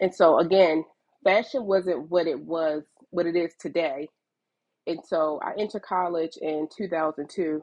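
A woman with an American accent talks at a fairly slow pace in a fairly low pitch. She has a plain, everyday voice with ordinary pitch variation. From Baltimore, Maryland, US. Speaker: fashion entrepreneur. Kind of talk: casual interview chat.

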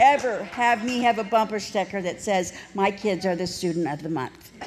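Over noticeable background noise, a woman speaks in an animated tone. Her intonation is lively and her pace moderate. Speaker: recovery speaker. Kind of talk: testimony.

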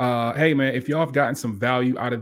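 In a very clean recording with a silent background, a man uses a plain, everyday voice, talking at a fairly quick pace with fairly even intonation. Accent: American. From Hampton Roads, Virginia. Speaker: podcast host. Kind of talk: interview.

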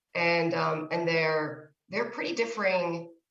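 In an unremarkable speaking voice, a woman talks at a fairly slow pace with a fairly low pitch. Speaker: neuroscientist. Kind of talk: casual interview conversation. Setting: video call.

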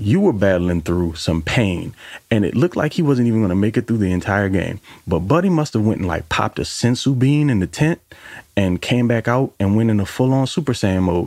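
A man's plain, everyday voice at a fairly low pitch, with lively intonation, a fairly quick pace and very even loudness. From New Orleans, US. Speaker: football fan contributor. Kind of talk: casual football commentary.

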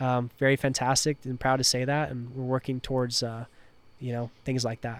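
A man with an American accent speaks at a medium pitch in a monotone, flat delivery. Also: moderate pace. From Washington State, Tri-Cities. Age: 20s. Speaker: underglow company owner. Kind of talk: casual chat. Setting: on location at a car event.

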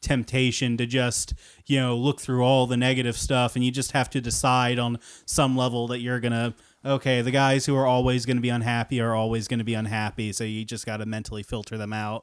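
At a very fast pace, a man talks in a medium pitch with monotone, flat intonation on a very clean recording with a silent background. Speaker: podcast co-host interviewing his father. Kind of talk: casual interview.

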